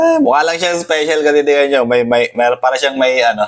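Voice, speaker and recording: A man talks at a fairly quick pace. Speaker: motorcycle vlogger. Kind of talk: unboxing vlog. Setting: apartment.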